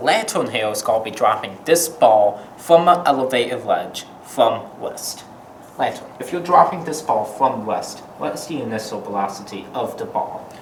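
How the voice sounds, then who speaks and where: With noticeable noise in the background, the man's pitch swings very widely while he keeps a moderate pace. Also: medium pitch for a man, big swings in loudness. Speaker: physics educator, presenter. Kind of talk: educational explainer to camera.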